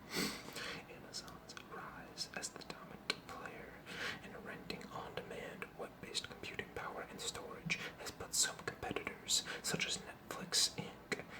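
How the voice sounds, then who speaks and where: A fairly slow whisper amid noticeable background noise. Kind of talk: news article reading. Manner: whispered.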